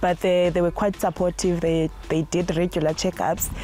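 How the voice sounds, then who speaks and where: A woman with a fairly low pitch speaks at a fairly quick pace in a monotone, flat intonation over noticeable background noise. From South Africa, Eastern Cape (rural village). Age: 20s. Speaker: postgraduate plant pathology student. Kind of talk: interview testimony. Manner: somewhat halting, with fillers.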